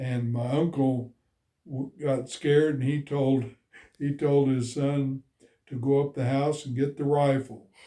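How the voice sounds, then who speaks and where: A man in an American accent, fairly high in pitch, with a dark, mellow tone, flat monotone intonation, a fairly slow pace and long, frequent pauses. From Enid, Oklahoma. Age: 80s+. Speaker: army veteran. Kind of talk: personal story told to camera. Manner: hesitant, with frequent fillers.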